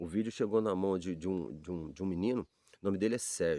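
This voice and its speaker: A man's voice with a dark, mellow tone. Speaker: Bible teacher. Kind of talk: informal Bible talk. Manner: fast; halting, repeats words.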